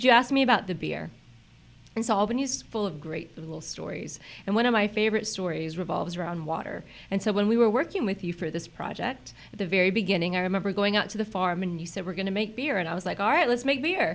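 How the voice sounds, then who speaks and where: Her tone is animated, and this woman speaks at a very fast pace. Her voice sits at medium pitch with ordinary pitch variation. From Central Florida (born Puerto Rico, moved at seven). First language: Spanish. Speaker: chamber of commerce president. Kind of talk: casual chat.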